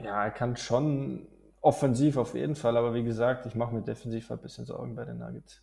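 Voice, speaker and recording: A man at a fairly quick pace, big swings in loudness, on a very clean recording with a silent background. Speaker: basketball podcast co-host. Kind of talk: casual chat. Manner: halting, frequent fillers.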